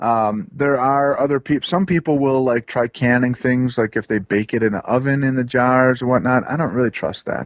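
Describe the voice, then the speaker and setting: A man with an American accent speaks in a plain, everyday voice at medium pitch and a moderate pace. His pitch varies in an ordinary way, with hardly any pauses. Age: 40s. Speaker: forager and broom maker. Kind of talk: casual interview.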